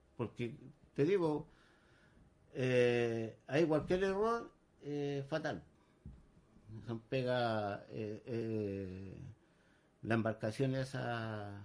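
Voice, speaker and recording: A man of medium pitch talks at a very slow pace, with ordinary variation in pitch. Long pauses come often. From Chile, San Antonio. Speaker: tugboat deckhand. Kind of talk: radio interview.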